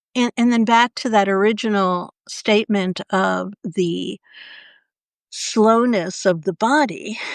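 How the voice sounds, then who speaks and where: The recording is very clean with a silent background and a dry, close sound with no echo. A woman speaks with ordinary pitch variation. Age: 60s. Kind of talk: casual chat. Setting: live video stream.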